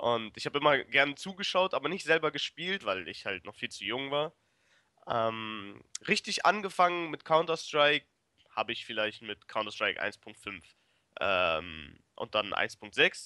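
Bright and sharp in tone, a man speaks at a fairly slow pace with a fairly high pitch and vocal fry. His pitch and loudness both swing widely, and the sound is dry and close with no echo. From Germany, Braunschweig. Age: 20s. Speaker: esports player. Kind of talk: interview. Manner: hesitant, many fillers.

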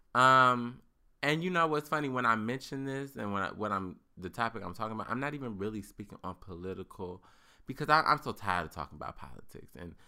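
Bright and sharp in tone, a man speaks fairly quickly in an animated way, his pitch swinging very widely. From US. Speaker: podcast host. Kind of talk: casual chat. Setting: studio.

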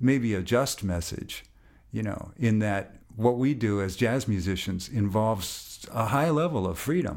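An unremarkable speaking voice from a man with an American accent, fairly low in pitch, with ordinary pitch variation and a moderate pace, on a very clean recording with a silent background. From US Midwest, Minneapolis. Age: 60s. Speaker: jazz bassist. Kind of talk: casual interview.

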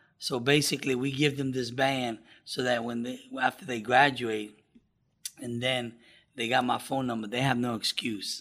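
A man at medium pitch, monotone and flat in intonation, moderate in pace, with big swings in loudness. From New York. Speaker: addiction recovery program director. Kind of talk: interview.

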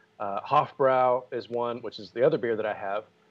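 A man's unremarkable speaking voice at a medium pitch with ordinary pitch variation. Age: 40s. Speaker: podcast host. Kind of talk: casual chat.

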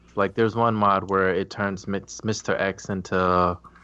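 An unremarkable speaking voice from a man, fairly low in pitch, at a fairly slow pace with ordinary pitch variation. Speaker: podcast co-host. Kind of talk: casual chat. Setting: video call.

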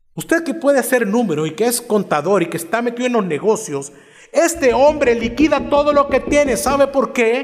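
Against noticeable background noise, a man with an extremely high pitch talks at a moderate pace with lively intonation. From El Salvador, Cojutepeque. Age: 40s. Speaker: pastor. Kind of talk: sermon.

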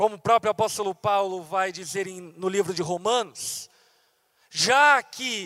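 A man's very slow speech with lively intonation and a bright, sharp tone, in a dry, close sound with no echo. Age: 30s. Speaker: pastor. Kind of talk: sermon.

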